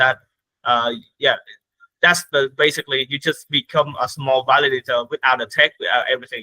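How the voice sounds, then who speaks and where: A man with a non-native accent speaks fairly quickly in a fairly high, monotone, flat voice. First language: not English. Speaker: crypto platform growth lead. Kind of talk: interview. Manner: halting.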